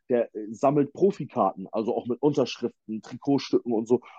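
Here is a man with a normal speaking voice. He talks at a moderate pace with ordinary pitch variation. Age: 30s. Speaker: football fan guest, former player. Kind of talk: casual sports chat.

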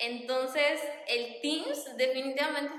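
A woman speaks very slowly at a high pitch in a monotone, flat intonation. Audible room echo surrounds her voice. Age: 20s. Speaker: primary school teacher. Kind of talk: casual chat.

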